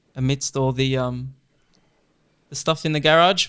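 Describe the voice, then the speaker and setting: A man with an Australian accent, his pitch fairly high and his tone bright and sharp. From Australia, Lebanese background. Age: 20s. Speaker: journalist. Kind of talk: casual chat. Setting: home garage studio.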